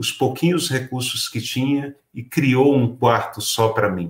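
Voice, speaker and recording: Somewhat breathy speech moves at a fairly slow pace with ordinary pitch variation. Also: man. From Pernambuco, Brazil. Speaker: writer and teacher. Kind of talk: talk to educators.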